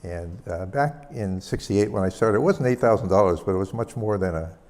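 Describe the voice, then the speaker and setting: In a plain, everyday voice, a man talks at a fairly quick pace with a fairly low pitch and ordinary pitch variation. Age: 60s. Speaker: skydiver and engineer giving a conference talk. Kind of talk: conference talk.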